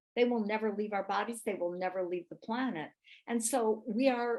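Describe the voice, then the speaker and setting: Using an unremarkable speaking voice, a woman talks at a moderate pace. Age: 60s. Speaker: health expert and author. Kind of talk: live webinar product training.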